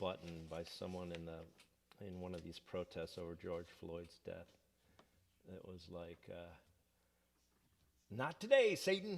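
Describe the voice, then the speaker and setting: With a slight Southern accent, a man speaks at a fairly slow pace in a very deep, low voice with ordinary pitch variation. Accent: takes on slight Southern accent at times. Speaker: singer-songwriter. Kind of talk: casual chat. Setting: live stream from home. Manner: casual, halting with fillers.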